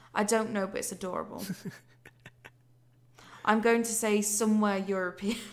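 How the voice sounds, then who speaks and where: With a northern English accent, a woman speaks at a moderate pace in a fairly high voice with monotone, flat intonation and long, frequent pauses. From Yorkshire, England.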